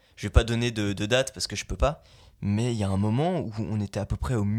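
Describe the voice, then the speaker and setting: At a moderate pace, a man speaks in a normal speaking voice with fairly low pitch on a very clean recording with a silent background. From Belgium. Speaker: voice actor. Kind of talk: casual chat.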